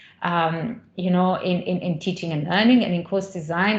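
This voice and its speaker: A woman talks at a fairly quick pace with ordinary pitch variation, heard with audible room echo and noticeable background noise. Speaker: associate professor in higher education. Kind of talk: conference talk. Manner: halting, many fillers and repetitions.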